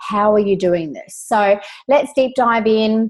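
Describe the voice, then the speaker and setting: A woman talks in an Australian accent. Her pace is very slow. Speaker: business coach, online community host. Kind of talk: webinar presentation. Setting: live video webinar. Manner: casual, many filler words.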